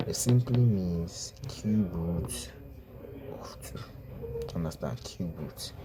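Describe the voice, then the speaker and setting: With noticeable background noise behind him, a man talks at a very deep, low pitch with very wide pitch swings. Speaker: math teacher. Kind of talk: tutorial. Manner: slow.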